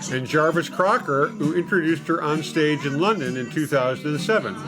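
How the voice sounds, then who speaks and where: Music in the background beneath a man speaking fairly high and fairly quick. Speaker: YouTube commentator. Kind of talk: obituary read from news article.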